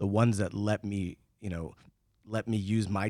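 In a very clean recording with a silent background, a man with a normal speaking voice talks at a fairly low pitch and a moderate pace, with ordinary pitch variation. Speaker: podcast host. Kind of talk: interview conversation.

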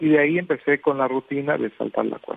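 This man speaks at a fairly high pitch. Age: 50s. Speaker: physical education teacher. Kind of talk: interview. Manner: halting.

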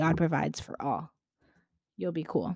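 A woman's voice, fairly low in pitch, carries a dark, mellow tone. The recording is very clean with a silent background. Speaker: podcaster explaining NFTs. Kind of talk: solo monologue explainer. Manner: casual, filler-heavy.

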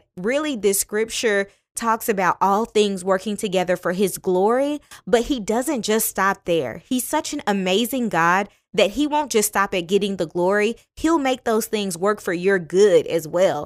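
On a very clean recording with a silent background, a woman with an unremarkable speaking voice talks at a fairly slow pace. Her pitch is medium and her intonation lively. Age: 30s. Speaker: podcast host. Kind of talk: faith-based motivational podcast monologue.

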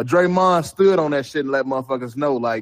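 Using a normal speaking voice, a man with an American accent talks at a fairly quick pace, fairly high in pitch, with lively intonation. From Chicago. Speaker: basketball fan caller. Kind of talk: casual chat.

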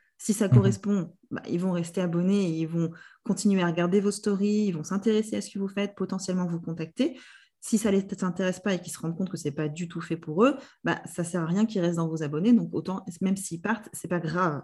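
A woman's somewhat breathy, dark and mellow voice at medium pitch, with ordinary pitch variation, big swings in loudness and a fairly quick pace. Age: 30s. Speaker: business mentor. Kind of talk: casual interview.

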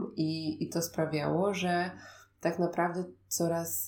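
Very slow and fairly even in intonation, a woman speaks with a fairly low pitch and a dark, mellow tone. The recording is very clean, with a silent background. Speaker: podcast host and meditation guide. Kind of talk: personal storytelling monologue. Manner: soft-spoken.

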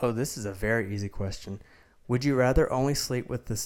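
A man with a Southern US accent, medium pitch and fairly even intonation, on a very clean recording with a silent background. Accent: southern US, noticeable. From Mississippi. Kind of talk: casual chat.

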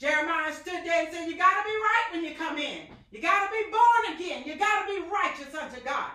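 At an extremely high pitch with a bright, sharp tone, a woman in a raised, projected voice speaks at a fairly quick pace with hardly any pauses, animated tone, lively intonation and big swings in loudness. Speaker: evangelist and preacher. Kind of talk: sermon, fervent preaching with scripture and call-and-response. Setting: online church service podcast. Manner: animated, impassioned, carried away by the word.

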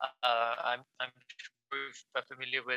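A man with a Pakistani accent speaks at medium pitch in a bright, sharp tone. The sound is dry and close, with no echo. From Lahore, Pakistan. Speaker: crime novelist. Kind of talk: panel interview.

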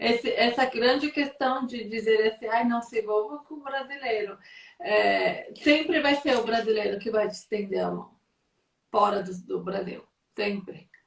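A woman with a fairly high pitch and ordinary pitch variation talks at a fairly slow pace, her loudness swinging widely, in a normal speaking voice. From São Paulo, Brazil. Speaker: content creator and live-stream host. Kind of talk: live video interview.

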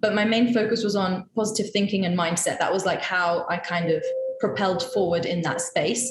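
Noticeable background noise sits behind a woman speaking at a fairly quick pace and a medium pitch. Her pitch varies in an ordinary way, and her loudness stays very even. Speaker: coaching student. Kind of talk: casual interview. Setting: call.

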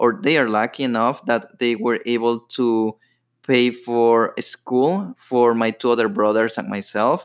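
In a very clean recording with a silent background, a man with a Latin American accent speaks fairly slowly at a medium pitch. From Ecuador. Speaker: podcast host. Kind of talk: personal storytelling monologue. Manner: casual, with filler words.

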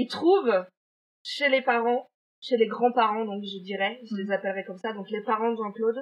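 A woman keeps a moderate pace, her fairly high pitch varying in an ordinary way. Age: 30s. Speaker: podcast co-host. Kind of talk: true-crime storytelling in casual chat. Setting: remote recording.

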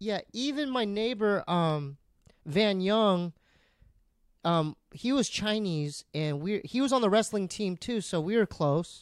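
On a very clean recording with a silent background, a man with an American accent speaks at a high pitch with lively intonation and a very slow pace. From San Diego, California. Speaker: comedian and podcaster. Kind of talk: casual chat.

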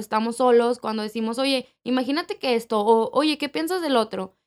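The woman's high-pitched voice, with ordinary pitch variation, sits in a very clean recording against a silent background. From Mexico City. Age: 20s. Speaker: podcast co-host. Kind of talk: casual chat.

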